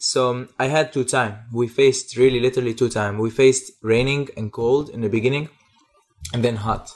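This man has a Syrian accent and a medium pitch. He talks at a moderate pace with fairly even intonation. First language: Arabic. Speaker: photographer and former refugee. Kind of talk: interview. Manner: halting.

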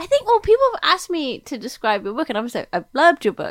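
A woman with an American accent speaks in a high voice with very wide pitch swings, on a very clean recording with a silent background. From Britain. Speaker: novelist. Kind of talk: casual interview.

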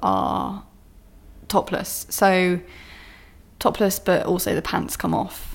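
A woman speaks at a very slow pace. Her voice sits at a medium pitch. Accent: southern English. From southern England, Bournemouth. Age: 30s. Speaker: podcast host, former stripper and author. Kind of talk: casual monologue and reading from own book. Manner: casual, filler-heavy.

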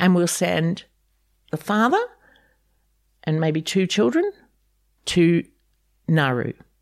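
Very slowly and with long, frequent pauses, a woman with a New Zealand accent speaks in a fairly low voice with ordinary pitch variation, on a very clean, dry, close recording with a silent background and no echo. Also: very even loudness. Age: 70s. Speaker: refugee advocate and migration agent. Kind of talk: interview. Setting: her home.

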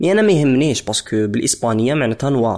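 Very clean recording with a silent background of a man in a plain, everyday voice, fairly high-pitched with lively intonation, at a fairly quick pace. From DR Congo, Lubumbashi. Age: 20s. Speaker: musician. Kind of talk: personal testimony.

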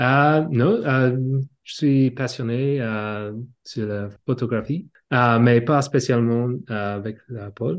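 In an English accent, a man talks at a very slow pace and a medium pitch, with ordinary pitch variation and big swings in loudness. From Australia. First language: English (speaking French). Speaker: photographer. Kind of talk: casual interview. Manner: halting, many hesitations.

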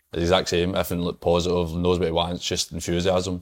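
This man talks very fast with a Scottish accent. His pitch is very deep and low. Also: very clean recording, silent background. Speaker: footballer. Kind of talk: casual chat.

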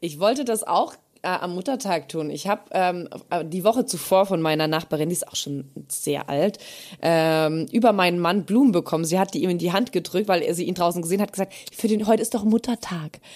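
A woman talks at a fairly quick pace in a normal speaking voice of medium pitch. The recording is very clean with a silent background. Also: ordinary pitch variation. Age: 30s. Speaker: podcast co-host. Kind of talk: casual chat.

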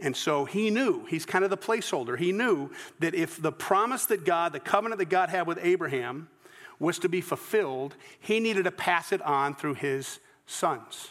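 A man with a Southern US accent, high-pitched for a man, lively intonation and a moderate pace. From US South, Georgia. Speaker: pastor. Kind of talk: sermon. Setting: church. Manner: halting.

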